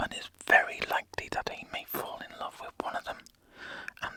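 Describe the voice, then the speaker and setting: A man whispers in a soothing tone, the sound dry and close with no echo, over noticeable background noise. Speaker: ASMR creator. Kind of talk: whispered ASMR book reading. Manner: whispered, soothing, relaxing.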